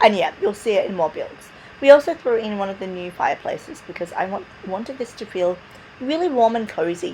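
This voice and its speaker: Noticeable background noise sits behind a woman speaking. Her pitch is fairly high and swings very widely. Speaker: gaming video creator. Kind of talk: voiceover narration of a build video. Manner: casual, chatty.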